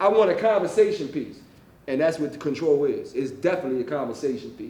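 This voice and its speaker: Talking at a very fast pace in an animated tone, a man is heard with audible room echo and noticeable background noise. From West Philadelphia. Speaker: author. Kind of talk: author talk to library audience. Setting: library event with audience. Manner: loud.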